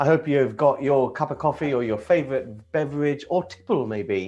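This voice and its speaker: A man with a plain, everyday voice, moderate pace and ordinary pitch variation. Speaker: property investing channel host. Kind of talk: casual talk-show host, coffee morning chat.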